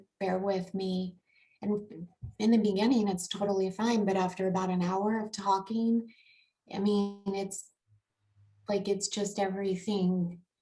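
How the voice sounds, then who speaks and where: Quiet and somewhat breathy, a woman speaks at medium pitch with monotone, flat intonation. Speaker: person with a vocal disorder. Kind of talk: interview. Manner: halting.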